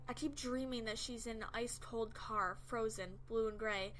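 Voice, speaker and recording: A woman talks at a moderate pace in a fairly high pitch. Music can be heard in the background. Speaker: creepypasta narrator. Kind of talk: horror story narration.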